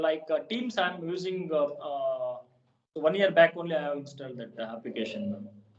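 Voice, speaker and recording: A man with a Kannada accent speaks at a fairly quick pace with lively intonation. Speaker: English learner. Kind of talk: casual chat. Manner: halting.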